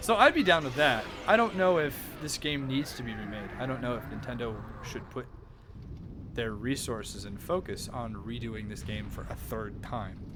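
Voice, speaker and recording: Quiet speech in an American accent swings widely in loudness. Room echo is audible, and background noise is noticeable. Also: man, moderate pace. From USA. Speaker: video game streamer. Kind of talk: live stream chat.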